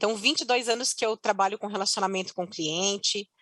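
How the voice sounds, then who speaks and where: In a strong Curitiba accent, a woman speaks at a medium pitch with fairly even intonation, the sound dry and close with no echo. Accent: strong Paraná (Curitiba). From Curitiba, Paraná, southern Brazil. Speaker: customer success executive. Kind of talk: conference panel talk.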